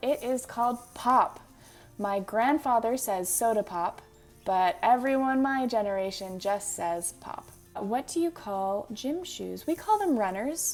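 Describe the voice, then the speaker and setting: A woman with a Manitoba accent speaks at a fairly slow pace in a fairly high pitch, with lively intonation and big swings in loudness. Music plays in the background. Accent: Manitoba Canadian. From Manitoba, Canada. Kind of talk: casual talk to camera.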